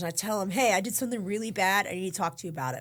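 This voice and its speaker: Very fast and animated in tone, a woman speaks with lively intonation on a very clean recording with a silent background. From US South, St Augustine Florida. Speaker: podcast guest, recovering addict. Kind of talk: testimony. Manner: animated, casual with filler words.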